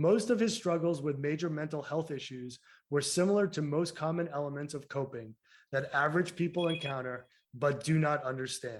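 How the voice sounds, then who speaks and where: A man with a Massachusetts accent in a fairly high pitch, at a moderate pace, on a very clean recording with a silent background. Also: ordinary pitch variation. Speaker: podcast co-host. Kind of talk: casual interview chat; reading a guest introduction.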